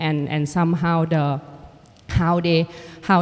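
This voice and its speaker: A woman speaks with a Thai accent at a fairly low pitch. Her pace is fairly slow and her intonation fairly even. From Thailand. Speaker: artist and filmmaker. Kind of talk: panel conversation. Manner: halting.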